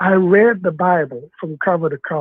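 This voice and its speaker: Fairly slow delivery with an American accent. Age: 60s. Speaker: caller. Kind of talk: call-in debate. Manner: halting.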